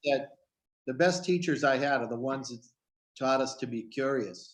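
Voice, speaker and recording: Here is a man with a normal speaking voice at medium pitch. He speaks at a moderate pace with ordinary pitch variation. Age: 60s. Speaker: children's book author hosting panel. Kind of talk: casual panel chat.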